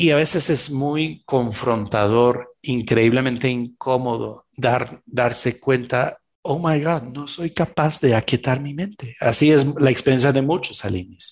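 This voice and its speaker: This man has a medium pitch and a fairly slow pace. He speaks with hardly any pauses. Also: ordinary pitch variation. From Belgium. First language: French (speaking Spanish). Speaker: shamanic practitioner and executive coach. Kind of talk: interview.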